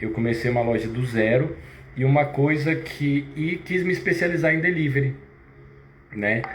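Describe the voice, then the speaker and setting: A man with a fairly high pitch speaks at a moderate pace with ordinary pitch variation and long, frequent pauses. Audible room echo and noticeable background noise fill the recording. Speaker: fitness business owner and live host. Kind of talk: live stream sales pitch. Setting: live stream. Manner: halting.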